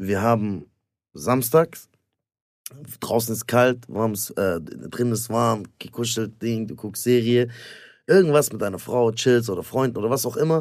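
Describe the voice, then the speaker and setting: A man talks at a fairly slow pace with long, frequent pauses. His pitch is medium, with ordinary variation. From Stuttgart, Germany. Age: 30s. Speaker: stand-up comedian and actor. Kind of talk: casual banter, comedy podcast.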